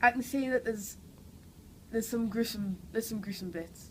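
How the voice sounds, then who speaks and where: A woman with a strong Geordie accent sounds somewhat breathy, keeping her intonation fairly even. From northern England, Newcastle. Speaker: actress. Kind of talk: interview. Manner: hesitant, many fillers.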